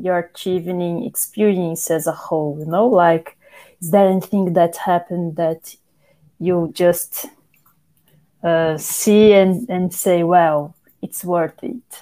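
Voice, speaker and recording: A woman with a Portuguese accent, medium pitch, a dark, mellow tone and a very slow pace. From Brazil. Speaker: podcast host, therapist and journalist. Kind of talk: casual chat.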